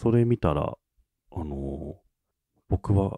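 A man's very deep, low, somewhat breathy voice with a dark, mellow tone and lively intonation, in a dry, close sound with no echo. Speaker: podcast co-host. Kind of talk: casual chat.

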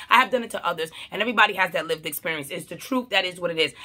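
The voice is raised and projected. It moves at a very fast pace. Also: woman. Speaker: social media commentator. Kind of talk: casual vlog commentary. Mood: passionate, argumentative. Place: home room. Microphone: phone near.

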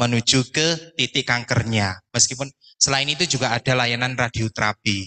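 Against a quiet background, a man with a bright, sharp tone speaks at a moderate pace with ordinary pitch variation. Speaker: hospital operations manager, doctor. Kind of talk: opening speech. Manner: nervous. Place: hall.

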